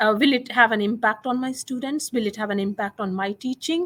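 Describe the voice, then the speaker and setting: A woman speaks at a fairly quick pace with a non-native accent. The recording is very clean, with a silent background. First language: not English. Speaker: chemistry teacher. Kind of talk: interview. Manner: halting, with fillers.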